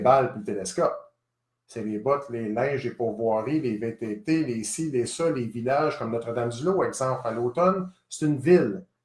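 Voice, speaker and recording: A man with a Quebec accent, somewhat breathy, at a moderate pace with ordinary pitch variation. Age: 50s. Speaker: gun shop owner. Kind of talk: live stream address.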